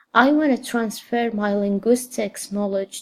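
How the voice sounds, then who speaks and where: A woman speaks at a medium pitch with an Arabic accent. Her intonation is fairly even. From Saudi Arabia. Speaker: graduate student. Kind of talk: scripted personal statement.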